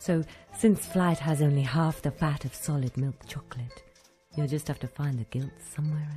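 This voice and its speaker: With music in the background, a woman speaks at a fairly slow pace in a very deep, low pitch. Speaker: voice actor. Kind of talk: TV commercial read.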